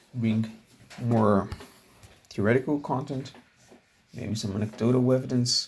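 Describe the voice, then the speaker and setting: Speaking fairly slowly with a non-native accent, a man uses fairly even intonation in a somewhat breathy voice. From outside English-speaking world, metric country. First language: not English. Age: 20s. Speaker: self-improvement vlogger. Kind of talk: casual vlog monologue. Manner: halting, many fillers.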